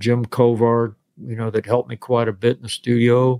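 A man at medium pitch, moderate pace. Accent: American. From Florida (West Palm Beach). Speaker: session and touring guitarist. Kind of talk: interview. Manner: halting.

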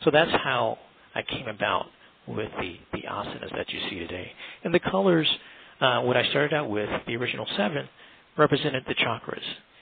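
Noticeable background noise behind a man with an American accent, medium in pitch, at a fairly quick pace with very wide pitch swings and long, frequent pauses. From US, Washington, D.C. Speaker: sculptor and artist. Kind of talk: interview. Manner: halting, many fillers and repeats.

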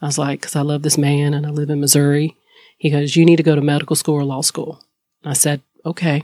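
A woman with a North Carolina accent has a very deep, low pitch and a dark, mellow tone. She talks at a very fast pace in a monotone, flat intonation, the sound dry and close with no echo. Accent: Southern US (North Carolina). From US South, High Point, North Carolina. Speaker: lawyer, law firm owner. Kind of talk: casual interview chat.

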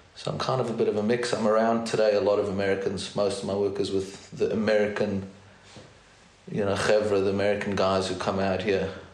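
The speaker talks at a fairly quick pace in a flat, monotone delivery over noticeable background noise. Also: man. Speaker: therapist and educator. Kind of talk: casual interview.

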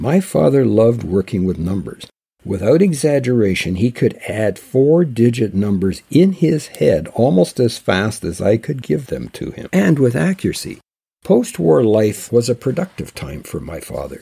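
Speaking with a Canadian accent, a man uses a medium pitch with very wide pitch swings and a dark, mellow, somewhat breathy tone. He keeps a moderate pace on a very clean recording with a silent background. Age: 70s. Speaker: Bible teacher. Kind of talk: religious radio talk.

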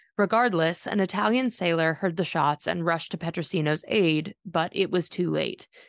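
A woman with vocal fry speaks in a serious, dramatic tone at a fairly low pitch, with very even loudness and hardly any pauses, against a quiet background. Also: ordinary pitch variation, moderate pace. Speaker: podcast narrator. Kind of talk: true-crime narration. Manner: measured, steady storytelling pace; serious, dramatic, matter-of-fact tone.

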